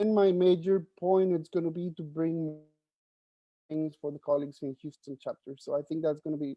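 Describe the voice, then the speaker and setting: Speaking with a Spanish accent, a man keeps a fairly quick pace, a fairly high pitch and fairly even intonation. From Mexico. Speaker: journalist, board finance officer. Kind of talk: virtual meeting self-introduction. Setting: video call. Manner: halting, many fillers.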